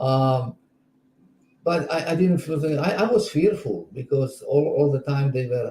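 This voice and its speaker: A fairly high-pitched man speaks in a dark, mellow tone that is somewhat breathy. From Czechoslovakia. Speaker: spiritual teacher. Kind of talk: interview. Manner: halting.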